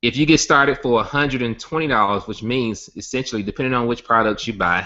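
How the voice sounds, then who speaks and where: Speaking with a Southern US accent, a man goes at a fairly quick pace. His medium pitch shows ordinary variation. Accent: Southern US country. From Alabama. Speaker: network marketing company founder. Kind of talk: sales pitch webinar. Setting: online webinar hangout.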